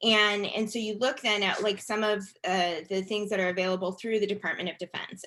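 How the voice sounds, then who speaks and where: With a plain, everyday voice, a woman speaks at a medium pitch and with fairly even intonation. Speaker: education policy expert. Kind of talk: webinar presentation.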